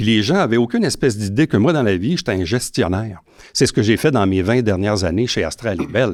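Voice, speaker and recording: A man has an ordinary speaking voice, fairly low in pitch, with lively intonation at a fairly quick pace. The recording is very clean, with a silent background. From Quebec, Saint-Jean-sur-Richelieu. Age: 50s. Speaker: mayoral candidate, former broadcaster. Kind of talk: campaign debate interview. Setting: host's garage.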